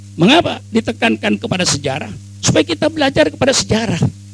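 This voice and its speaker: A man rattles along very fast in an animated tone, with noticeable noise in the background. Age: 80s+. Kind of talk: sermon.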